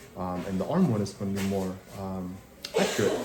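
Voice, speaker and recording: A man keeps a moderate tempo while audible room echo and noticeable background noise fill the recording. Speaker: dental hygienist. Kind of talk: casual vlog. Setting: dental chair. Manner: loud.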